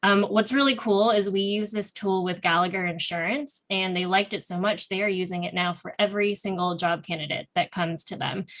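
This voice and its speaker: A woman with a normal speaking voice talks at medium pitch and a fairly quick pace, her intonation fairly even and hardly any pauses in between. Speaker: nonprofit founder presenting employment program. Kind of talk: panel presentation.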